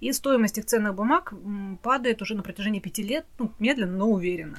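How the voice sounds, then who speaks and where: A woman's fairly high-pitched, lively-intoned voice, an ordinary speaking voice. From Russia. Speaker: podcast co-host. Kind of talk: casual chat.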